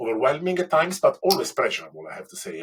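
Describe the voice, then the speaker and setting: A man's voice with an Italian accent. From Italy. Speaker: baking competition winner. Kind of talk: interview. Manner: halting.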